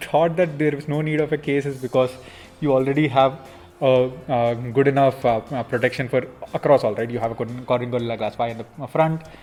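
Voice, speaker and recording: With music in the background, a man with a Telugu accent talks fairly quickly in a fairly high pitch, using ordinary pitch variation and long, frequent pauses. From India, Andhra Pradesh (near Vijayawada). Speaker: smartphone company executive. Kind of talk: Q&A interview. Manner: hesitant, many fillers.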